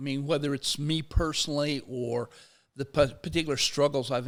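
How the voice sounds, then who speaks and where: In an ordinary speaking voice, a man talks at a fairly quick pace, his pitch medium and his intonation fairly even. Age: 60s. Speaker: sociology professor and labor activist. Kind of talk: interview conversation. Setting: studio.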